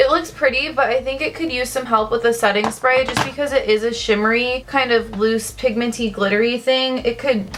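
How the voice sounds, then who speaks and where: A woman's fairly high voice comes through with noticeable noise in the background. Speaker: beauty vlogger. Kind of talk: makeup tutorial. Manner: casual; fast.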